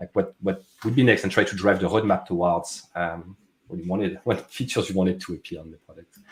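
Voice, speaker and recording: Against a silent background on a very clean recording, a man with a French accent talks in a very deep, low voice with fairly even intonation. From France. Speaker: software product manager. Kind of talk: casual interview chat. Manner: many fillers and restarts.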